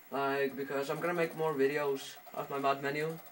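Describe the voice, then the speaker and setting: A man with a fairly high pitch, speaking at a moderate pace, with light background noise. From Iceland. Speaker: home video tutorial maker. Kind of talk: casual tutorial talk over gameplay footage. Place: home room. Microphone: phone near.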